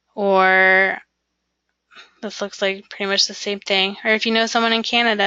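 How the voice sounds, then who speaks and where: A woman with a fairly high voice. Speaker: career coach. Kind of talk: webinar presentation. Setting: online webinar.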